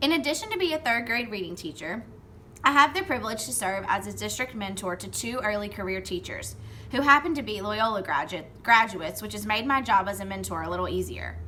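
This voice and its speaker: In a Southern US accent, a woman talks at a fairly quick pace with big swings in loudness, and audible room echo surrounds her voice. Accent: Southern twang. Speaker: third grade reading teacher. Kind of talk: award acceptance speech. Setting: recorded video from classroom. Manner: formal.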